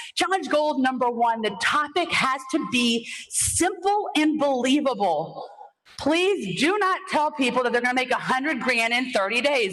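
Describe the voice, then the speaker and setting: In a room with audible echo and noticeable background noise, a woman with a high pitch speaks at a moderate pace, her tone animated and her intonation lively. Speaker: conference speaker, online business coach. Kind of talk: conference talk.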